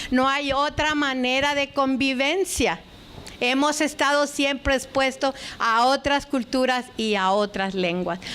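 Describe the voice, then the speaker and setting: A woman speaks very slowly in a high voice, her pitch moving in an ordinary way and her loudness staying very even. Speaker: lecturer, linguistics scholar. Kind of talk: lecture.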